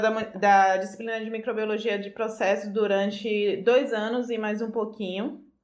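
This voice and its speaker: Her intonation is monotone and flat. This woman has a fairly high pitch, and audible room echo surrounds her voice. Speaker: food engineer. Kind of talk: interview.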